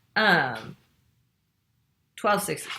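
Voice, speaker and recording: The woman's voice has a bright, sharp tone with vocal fry. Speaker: knitting podcaster. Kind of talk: casual chat. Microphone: laptop mic.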